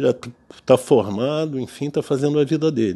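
A man speaks at a fairly high pitch with a dark, mellow tone. The background is quiet. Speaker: physician. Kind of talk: educational talk to fellow doctors. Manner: halting, with repetitions and fillers.

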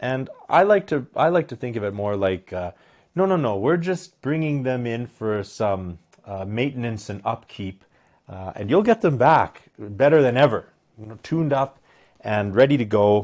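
A man with a Canadian accent and a normal speaking voice talks at a moderate pace in a medium pitch, with lively intonation and big swings in loudness. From Alberta, Canada (Medicine Hat). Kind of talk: casual chat. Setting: pub.

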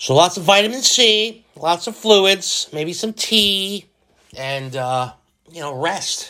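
A man with a high pitch and a bright, sharp tone uses a raised, projected voice at a very slow pace, with lively intonation and big swings in loudness. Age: 40s. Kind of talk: casual solo monologue. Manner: halting, repeats words; animated.

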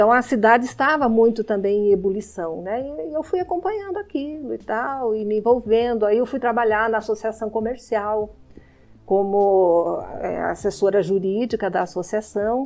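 Her voice is an unremarkable speaking voice, as a woman talks at a moderate pace with a fairly high pitch and ordinary pitch variation. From Brazil, Paraná (Irati). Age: 60s. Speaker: lawyer and deputy mayor. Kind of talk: interview.

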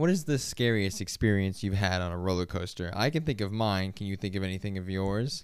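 On a very clean recording with a silent background, a man with an unremarkable speaking voice talks at a fairly quick pace with hardly any pauses, fairly low in pitch with ordinary pitch variation. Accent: American. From Florida. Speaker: podcast co-host. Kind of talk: casual chat.

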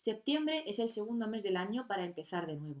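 Her pitch is medium, but this woman's voice makes very wide swings as she talks at a fairly quick pace. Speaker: podcast host. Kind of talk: solo podcast monologue.

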